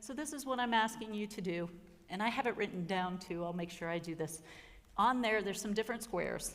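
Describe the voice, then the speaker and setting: A fairly quick pace with ordinary pitch variation. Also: woman, medium pitch for a woman. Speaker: pastor. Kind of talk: workshop presentation. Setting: workshop room with audience. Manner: animated.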